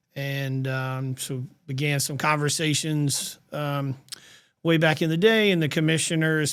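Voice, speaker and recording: On a very clean recording with a silent background, a man with a South Carolina accent speaks at a moderate pace in a fairly high pitch with fairly even intonation. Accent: Southern US (South Carolina). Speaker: nonprofit executive. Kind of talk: podcast interview.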